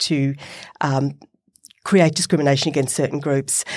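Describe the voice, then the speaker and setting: With an Australian accent, a woman speaks at a fairly quick pace on a very clean recording with a silent background. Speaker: professor and podcast co-host. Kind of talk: casual chat and interview. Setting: studio.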